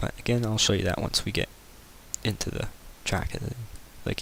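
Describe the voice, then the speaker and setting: A man speaks with fairly even intonation at a moderate pace. His pitch is fairly low. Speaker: video game modding tutorial maker. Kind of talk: screen-recorded tutorial. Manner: casual, filler-heavy.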